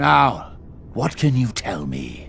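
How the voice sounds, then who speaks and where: Over clear background noise, a put-on character voice leaps through very wide pitch swings. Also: man. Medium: video game. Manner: formal, measured.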